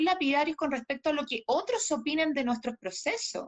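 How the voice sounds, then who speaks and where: Her voice high, a woman swings widely in pitch, recorded with a dry, close sound and no echo. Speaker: gem therapist. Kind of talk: casual chat.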